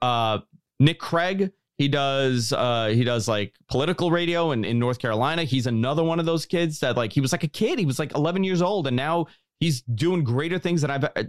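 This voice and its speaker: A man with a New York accent speaks at a fairly quick pace with very even loudness, in a dry, close sound with no echo. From New York City, Queens (Bayside). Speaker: podcast host. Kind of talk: casual interview.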